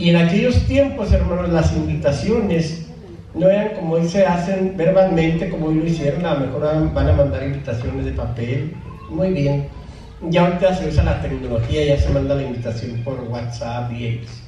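A man speaks at a moderate pace with audible room echo. Light background noise can be heard. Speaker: preacher. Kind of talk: sermon. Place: church.

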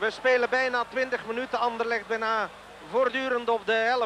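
A man with an extremely high pitch talks at a fairly slow pace, with light background noise and a dry sound with no echo. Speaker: sports commentator. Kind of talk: commentary. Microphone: old recording.

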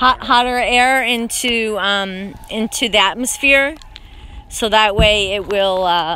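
A woman speaks slowly at a medium pitch. Her tone is bright and sharp, with faint background noise.

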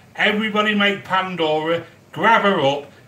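Man at a fairly slow pace, with audible room echo. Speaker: home cook livestreamer. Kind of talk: casual live-stream chat. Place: kitchen. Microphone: phone near.

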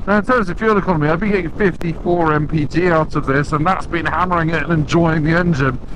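A man's fairly quick speech, dry with no echo, over noticeable background noise. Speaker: motorbike reviewer. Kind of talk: commentary. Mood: light, joking. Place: motorbike. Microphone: helmet.

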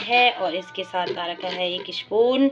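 A woman at a fairly slow pace, ordinary pitch variation, light background noise. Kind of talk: casual unboxing tutorial. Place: kitchen. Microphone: phone near.

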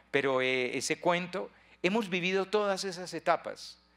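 In a quiet background, a man with a bright, sharp tone speaks at a moderate pace with ordinary pitch variation. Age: 60s. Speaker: priest. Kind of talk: retreat talk. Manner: repetitive stammering. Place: hall. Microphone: handheld.

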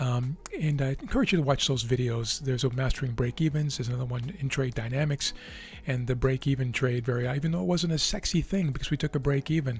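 A man speaks at a very fast pace with ordinary pitch variation. The sound is dry with no echo, and music plays in the background. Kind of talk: commentary.

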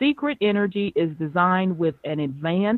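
A woman talks at a moderate pace. She has an unremarkable speaking voice. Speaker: radio host. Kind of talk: interview. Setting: phone call.

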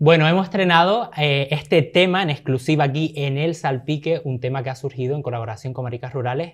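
Against a quiet background, a man speaks at a very fast pace. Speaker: podcast host. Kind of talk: casual interview. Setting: studio. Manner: animated. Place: studio. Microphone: studio mic.

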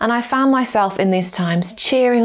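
A woman talks at a moderate pace, her pitch varying in an ordinary way, with a quiet background behind her. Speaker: preacher. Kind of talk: sermon. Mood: warm, encouraging. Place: home room.

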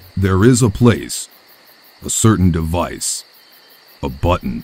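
A man speaks with a very deep, low pitch at a fairly slow pace. His pitch swings very widely. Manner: calm, cryptic, earnest.

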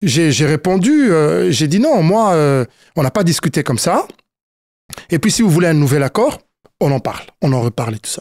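At a moderate pace, a man talks with lively intonation and long, frequent pauses, the sound dry and close with no echo. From Congo. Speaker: youth football coach. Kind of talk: interview. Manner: halting, many fillers.

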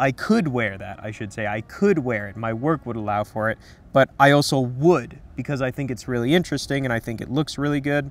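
A man at a fairly quick pace, with ordinary pitch variation and a dry sound with no echo. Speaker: menswear commentator. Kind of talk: commentary. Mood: relaxed, enthusiastic. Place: garden. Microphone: lapel.

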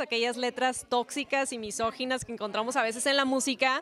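Dry and echo-free with light background noise, a woman's high-pitched voice moves at a fairly quick pace with fairly even intonation. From Tijuana, Mexico; Mexico. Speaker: singer. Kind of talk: interview. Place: hall. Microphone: handheld.

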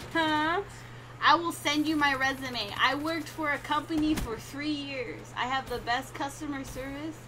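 A woman with an American accent and a high pitch raises and projects her voice, her tone bright and sharp, moving at a fairly slow pace with long, frequent pauses and fairly even intonation. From California, USA. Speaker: gamer streamer. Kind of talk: casual live-stream talk to chat.

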